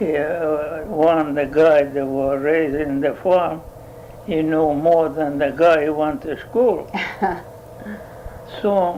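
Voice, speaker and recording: Over noticeable background noise, a man with an Italian accent and a fairly high pitch speaks at a very slow pace. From Italy. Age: 80s+. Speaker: dairy farmer. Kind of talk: oral history interview answer.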